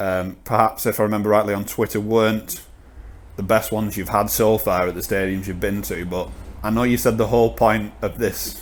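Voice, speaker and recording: A man speaks in a Lancashire accent with fairly low pitch and vocal fry. His intonation stays fairly even. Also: moderate pace. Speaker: podcast host. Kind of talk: interview.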